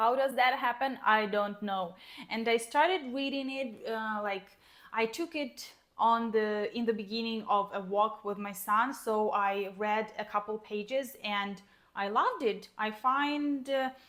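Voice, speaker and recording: Using a fairly high pitch with ordinary variation, a woman talks at a fairly slow pace in a Ukrainian accent. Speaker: book vlogger. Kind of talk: casual vlog chat. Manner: hesitant, with fillers.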